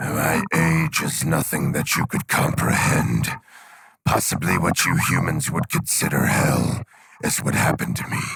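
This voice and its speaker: Using a raspy put-on character voice, a man speaks at a moderate pace with a very deep, low pitch. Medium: audio drama. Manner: menacing.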